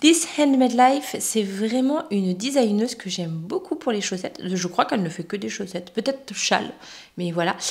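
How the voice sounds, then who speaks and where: Noticeable background noise sits behind a voice that moves at a moderate pace with very wide pitch swings. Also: woman, fairly high pitch for a woman. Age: 40s. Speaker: knitting vlogger. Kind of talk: casual chat. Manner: hesitant, many fillers.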